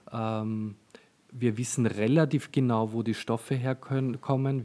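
Here a man speaks in a dark, mellow tone at medium pitch. His delivery is a flat monotone at a very slow pace. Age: 40s. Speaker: fashion designer and shop owner. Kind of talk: casual interview. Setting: in his shop. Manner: hesitant, many fillers.

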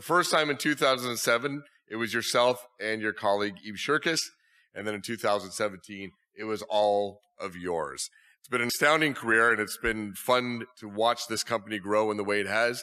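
An ordinary speaking voice from a man, medium in pitch, at a moderate pace, with ordinary pitch variation and big swings in loudness. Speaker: interviewer, media executive. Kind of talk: onstage interview. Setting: stage with audience.

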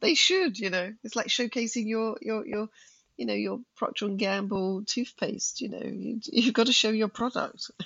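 Here is a woman with a plain, everyday voice, pitched fairly high. She speaks at a moderate pace with ordinary pitch variation. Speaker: management consultant. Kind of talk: casual chat.

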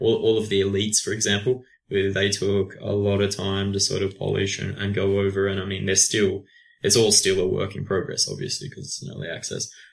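A man talks at a fairly quick pace with a fairly low pitch. His voice is somewhat breathy and his intonation monotone and flat. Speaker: video game marketing and communications person. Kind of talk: podcast interview. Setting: remote call from France.

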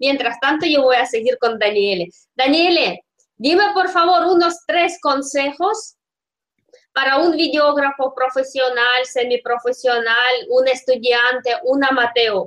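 A woman with a Russian accent, high pitch, lively intonation, very even loudness and a fairly slow pace. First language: Russian (speaking Italian). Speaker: podcast host. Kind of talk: interview.

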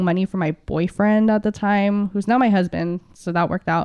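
A woman speaks in a plain, everyday voice with fairly even intonation. The background is quiet. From San Diego, California (born in Philippines). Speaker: union organizer. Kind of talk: podcast interview.

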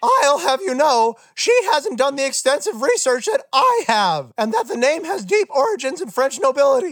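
A man puts on a character voice at an extremely high pitch. He speaks with hardly any pauses. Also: moderate pace. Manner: indignant, defensive.

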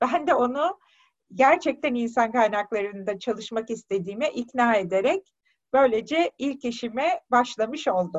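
Her voice high and her intonation lively, a woman speaks at a fairly slow pace. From Turkey, Tekirdağ. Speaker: human resources director. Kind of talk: interview.

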